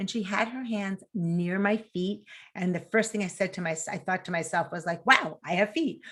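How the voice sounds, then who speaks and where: Spoken in a New York accent at a moderate pace, the voice has ordinary pitch variation on a very clean recording with a silent background. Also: woman, medium pitch for a woman. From New York City. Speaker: mental health nonprofit founder. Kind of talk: interview. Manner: animated.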